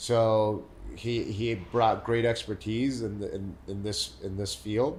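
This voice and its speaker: In a room with audible echo, a man speaks very slowly, his fairly low, somewhat breathy voice monotone and flat. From Mexico City, then San Diego from age 14. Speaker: real estate developer. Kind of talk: podcast interview. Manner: repetitive false starts.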